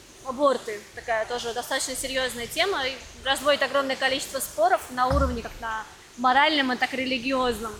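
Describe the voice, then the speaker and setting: A woman talks at a fairly quick pace and a high pitch with fairly even intonation. Noticeable background noise can be heard. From Russia. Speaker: podcast host. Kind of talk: casual interview chat.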